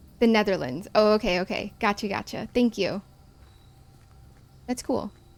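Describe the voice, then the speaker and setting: A woman's fairly high voice at a moderate pace, with a Midwestern American accent. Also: ordinary pitch variation. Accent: plain Midwestern American, nearly accent-free. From US Midwest. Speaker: game streamer. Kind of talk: casual gameplay commentary. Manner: chatty, self-interrupting.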